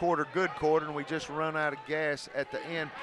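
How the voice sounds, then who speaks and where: Over noticeable background noise, a man with an American accent speaks at a fairly high pitch. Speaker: play-by-play broadcaster. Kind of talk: live sports commentary with interview. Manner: emotional, screaming during plays.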